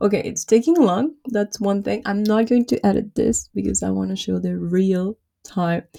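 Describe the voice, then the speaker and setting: Against a quiet background, a woman speaks with a non-native accent. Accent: has a non-native. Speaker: YouTuber, small business tech tutorials. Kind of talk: live tutorial screen walkthrough. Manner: fast. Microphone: webcam.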